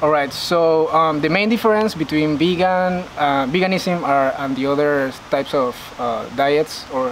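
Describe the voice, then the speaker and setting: The speaker has a Panamanian accent. There is noticeable background noise. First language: Spanish. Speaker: university student and vegan influencer. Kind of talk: interview. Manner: halting, many fillers.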